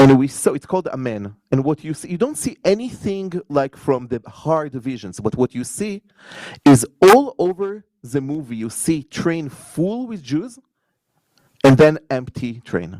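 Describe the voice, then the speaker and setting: Speaking in an Israeli accent, a man has a fairly high pitch, a dark, mellow tone and very wide pitch swings. His fairly slow delivery sounds dry and close, with no echo. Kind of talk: conference panel talk.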